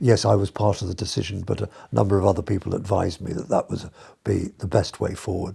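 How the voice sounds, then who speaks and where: On a very clean recording with a silent background, a man speaks at a fairly low pitch in a dark, mellow tone marked by vocal fry. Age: 70s. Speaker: retired doctor and amputee patient. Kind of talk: interview testimony. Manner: halting, many fillers.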